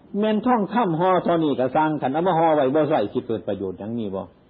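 This man's fairly high pitch moves in very wide swings as he speaks with an Isan accent. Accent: Isan (Northeastern Thai). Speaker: Buddhist monk. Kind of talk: Dharma sermon.

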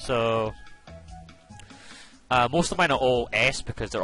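With music in the background, a man talks in a fairly low pitch. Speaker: gaming video commentator. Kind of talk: casual game guide commentary.

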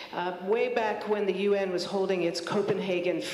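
A woman speaks at a moderate pace with audible room echo. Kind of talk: public talk / testimony. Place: hall. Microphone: handheld.

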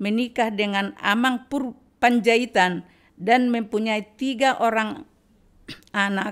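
A woman talks very slowly at a fairly high pitch, with ordinary pitch variation. The background is quiet. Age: 80s+. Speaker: rice distributor, widow; podcast guest. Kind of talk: testimony. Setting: her home. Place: home room. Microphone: studio mic.

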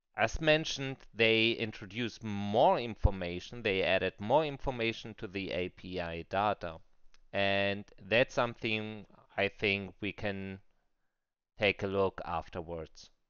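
At a fairly slow pace, a man with a non-native accent speaks in a fairly low voice with ordinary pitch variation. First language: non-native English speaker. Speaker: crypto trader. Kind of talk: screen-recorded software tutorial.

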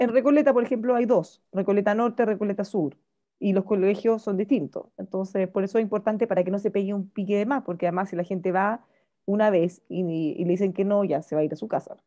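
Pitch shifts in an ordinary way throughout. The delivery is very fast. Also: woman, medium pitch for a woman. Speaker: radio host. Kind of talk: casual chat.

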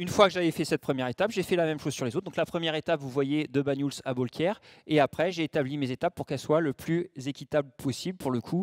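A man with a fairly high pitch and ordinary pitch variation talks very fast with hardly any pauses, in a dry sound with no echo against a quiet background. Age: 40s. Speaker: ultra-trail runner and mental coach; conference speaker. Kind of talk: conference talk. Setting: conference room with audience. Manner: hesitant, many fillers. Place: hall. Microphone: handheld.

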